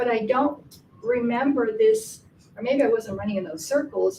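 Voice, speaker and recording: A woman's high voice carries lively intonation at a moderate pace, with noticeable background noise behind her. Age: 70s. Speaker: audience member at film festival. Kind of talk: group discussion. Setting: public library screening with audience.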